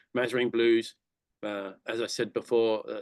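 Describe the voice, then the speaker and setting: A speaker with an English accent is heard in a dry, close sound with no echo. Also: man. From England. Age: 60s. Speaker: conservation charity director giving a talk. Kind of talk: lecture. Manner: fast; halting.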